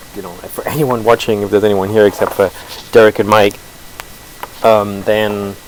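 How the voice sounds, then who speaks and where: A man mumbling in a flat monotone at a moderate pace, with big swings in loudness, long, frequent pauses and noticeable background noise. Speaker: open source software developer. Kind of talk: live-streamed code review. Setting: live stream, no audio feedback. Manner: hesitant, many fillers.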